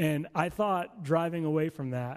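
A man with a fairly high pitch and ordinary pitch variation speaks in a plain, everyday voice. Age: 30s. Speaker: pastor. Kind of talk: sermon. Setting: church.

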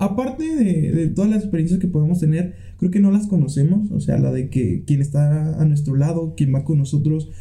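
There is audible room echo around a man's voice. His pitch is fairly high and his tone is dark and mellow. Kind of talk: casual chat. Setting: home studio.

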